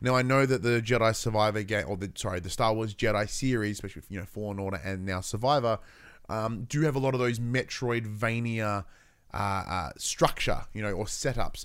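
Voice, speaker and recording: An unremarkable speaking voice from a man, medium in pitch with ordinary pitch variation and a fairly quick pace, on a very clean recording with a silent background. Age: 30s. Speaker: gaming podcast host. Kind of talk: solo casual podcast chat. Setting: live-streamed podcast recording.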